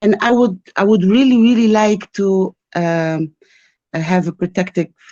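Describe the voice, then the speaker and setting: The recording is dry and close with no echo as a woman with a non-native accent speaks in a dark, mellow tone with ordinary pitch variation. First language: not English. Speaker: caller seeking spiritual consultation. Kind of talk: personal testimony on call. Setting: video call. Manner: halting, hesitant.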